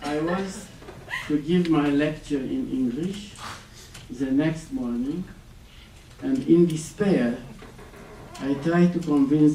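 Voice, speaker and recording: A man with a non-native accent at a fairly high pitch, ordinary pitch variation and fairly slow pace, with audible room echo and noticeable background noise. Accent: foreign. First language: Romanian. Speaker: exiled writer. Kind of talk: lecture.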